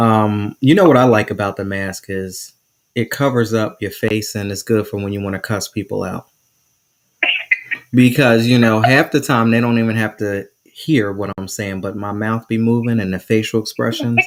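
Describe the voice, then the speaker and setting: At a moderate pace, a man with an unremarkable speaking voice talks in a fairly low pitch and fairly even intonation. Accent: American. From New Jersey. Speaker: podcast host. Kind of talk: casual interview chat. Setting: live stream.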